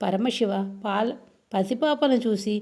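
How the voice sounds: The clip presents a natural reading voice.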